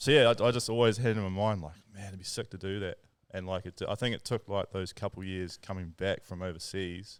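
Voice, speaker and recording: Speaking with a New Zealand accent, a man keeps a fairly low pitch and fairly even intonation at a fairly quick pace, with big swings in loudness, on a very clean recording with a silent background. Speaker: tattoo artist and lure-making business co-founder. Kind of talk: casual podcast chat. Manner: quiet.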